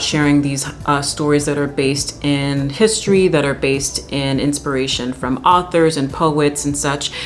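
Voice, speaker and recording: Over noticeable background noise, a woman with a very deep, low voice sounds animated at a moderate pace. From Jamaica. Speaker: classically trained soprano. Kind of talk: educational talk to camera. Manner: casual, animated.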